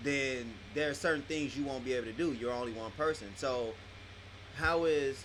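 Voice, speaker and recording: A man talks at a fairly slow pace with ordinary pitch variation against noticeable background noise. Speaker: podcast host. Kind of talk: interviewer questions. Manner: casual.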